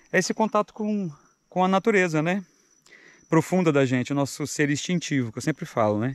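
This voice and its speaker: The audio is dry, carrying no echo. A man's speech unfolds at a moderate pace. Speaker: mountain biker vlogger. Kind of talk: casual vlog chat. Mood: calm, reflective. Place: open country. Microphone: phone near.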